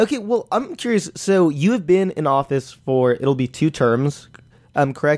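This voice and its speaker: At a moderate pace, a normal speaking voice carries lively intonation. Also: man, fairly high pitch for a man, very even loudness. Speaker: student podcast host. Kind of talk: interview. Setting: studio.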